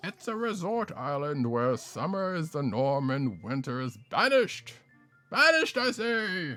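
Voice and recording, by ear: Over faint background music, a man puts on a pompous, dramatic character voice, pitched fairly high, swinging very widely in pitch at a moderate pace.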